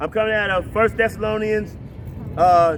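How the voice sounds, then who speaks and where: Over noticeable background noise, a man speaks at a fairly slow pace with a high pitch and fairly even intonation. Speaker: street preacher. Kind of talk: open-air sermon. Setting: outdoors in a park.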